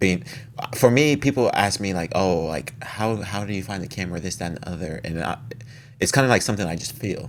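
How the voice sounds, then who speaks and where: Mumbling at a fairly quick pace, a man with a fairly low pitch uses lively intonation over noticeable background noise. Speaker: actor. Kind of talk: casual chat. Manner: tends to mumble.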